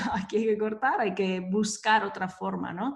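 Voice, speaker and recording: A woman with an Italian accent at a fairly slow pace. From Italy (Verona). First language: Italian (speaking Spanish). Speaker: business coach and entrepreneur. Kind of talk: interview conversation.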